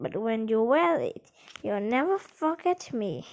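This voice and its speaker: Putting on a high-pitched character voice, a woman talks at a fairly slow pace. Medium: read story. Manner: warm, good-humoured.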